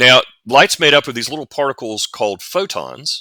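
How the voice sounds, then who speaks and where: A man with a Southern US accent speaks with a bright, sharp tone and vocal fry, in a very clean recording with a silent background, the sound dry and close with no echo. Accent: southern US drawl. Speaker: science fiction author and futurist. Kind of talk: interview. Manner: explanatory, some repetitions and false starts.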